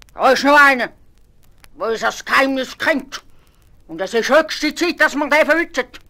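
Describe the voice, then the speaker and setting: In a put-on character voice, a woman shouts in a furious tone at a high pitch, keeping a moderate pace, ordinary pitch variation and long, frequent pauses. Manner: shouting, furious.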